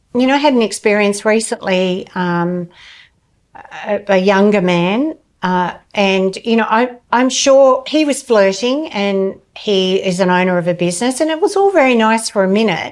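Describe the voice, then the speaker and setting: At a moderate pace, an unremarkable speaking voice talks with lively intonation. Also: woman, medium pitch for a woman. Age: 60s. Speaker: somatic therapist. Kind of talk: casual chat.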